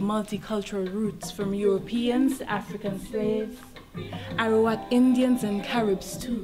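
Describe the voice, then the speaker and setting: A woman's fairly high voice with fairly even intonation at a moderate pace, with noticeable background noise and audible room echo. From Saint Lucia. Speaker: spoken word poet. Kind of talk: spoken word performance. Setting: stage with audience at museum event.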